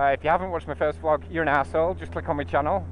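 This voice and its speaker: The speaker talks at a very fast pace, with very wide swings in pitch. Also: man. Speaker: motorcycle vlogger. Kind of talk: casual vlog while riding. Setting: riding a motorcycle in rain. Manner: mumbling; rambling, hesitant.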